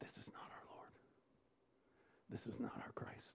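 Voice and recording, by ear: At a moderate pace, a man whispers with an American accent.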